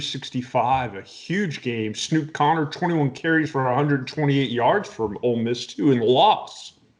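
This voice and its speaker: In a plain, everyday voice with an American accent, the speaker goes at a moderate pace with ordinary pitch variation and hardly any pauses. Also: man. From US South. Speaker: sports podcast host. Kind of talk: casual chat.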